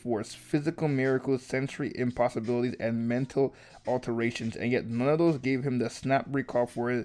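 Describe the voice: Someone does plain reading aloud, the intonation fairly even.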